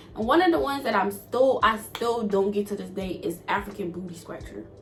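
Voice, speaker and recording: Over music in the background, a woman speaks at a medium pitch in an animated tone, her intonation lively and her loudness swinging widely. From Togo, West Africa, then US from age nine. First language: not English (Togolese languages or French). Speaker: YouTuber. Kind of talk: casual Q&A vlog.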